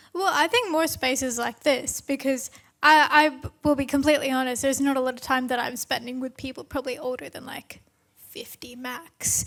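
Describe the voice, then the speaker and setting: In an Australian accent, a woman with a high-pitched voice talks at a fairly quick pace, her intonation fairly even while her loudness swings widely. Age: young. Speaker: climate lawyer and activist. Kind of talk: panel discussion.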